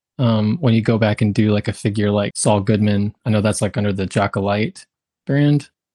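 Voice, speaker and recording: An ordinary speaking voice moves at a moderate pace with ordinary pitch variation, recorded with a dry, close sound and no echo. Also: man. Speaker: podcast co-host. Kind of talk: casual interview.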